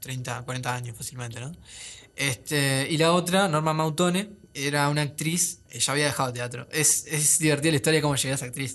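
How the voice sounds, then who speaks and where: Talking at a fairly quick pace, a man uses a fairly high pitch that varies in an ordinary way. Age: 20s. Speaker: young filmmaker and film student. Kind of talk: casual interview. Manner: halting, many fillers.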